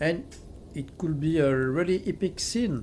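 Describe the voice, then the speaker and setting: Very slow speech in a French accent. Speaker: gaming video essayist. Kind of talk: video essay commentary. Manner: some hesitations with fillers.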